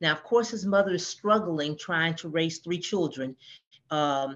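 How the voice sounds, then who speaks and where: A woman with an American accent and a plain, everyday voice, fairly low in pitch, at a moderate pace with ordinary pitch variation. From US South, Georgia. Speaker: author. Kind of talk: podcast interview.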